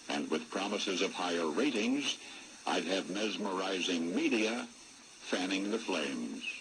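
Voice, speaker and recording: Spoken with an American accent at a fairly slow pace, the voice has lively intonation and very even loudness over noticeable background noise. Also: man, fairly low pitch for a man. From United States. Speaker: radio broadcaster. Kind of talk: radio commentary.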